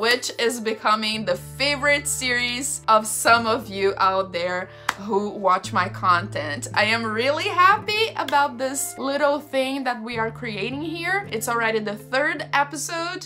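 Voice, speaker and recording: Over background music, a woman with a fairly high voice talks at a fairly slow pace, her pitch swinging very widely as she hardly pauses. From Brazil. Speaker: folk witch, spirituality content creator. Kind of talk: casual talk to camera.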